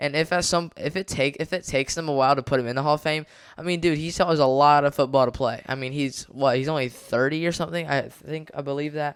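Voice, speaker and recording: A man's fairly high voice, very fast and with hardly any pauses. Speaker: NFL podcast host. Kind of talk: casual commentary. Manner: halting; casual, filler-heavy.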